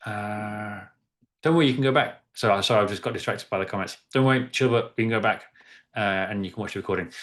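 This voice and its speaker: Speaking at a very fast pace, a man with an English accent has a fairly low pitch. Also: quiet background. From East of England. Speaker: workshop facilitator. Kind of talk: interactive workshop. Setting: video call.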